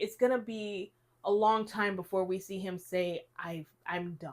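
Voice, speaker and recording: An ordinary speaking voice moves at a fairly slow pace on a very clean recording with a silent background. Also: woman. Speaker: podcast co-host. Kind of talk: casual chat.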